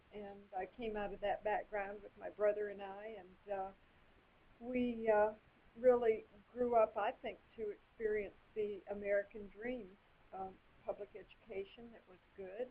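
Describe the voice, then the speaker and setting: With an East Tennessee accent, a woman at medium pitch talks fairly slowly in a flat monotone, with long, frequent pauses and big swings in loudness. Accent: US Southern (East Tennessee). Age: 60s. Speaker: political candidate, retired doctor. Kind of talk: interview.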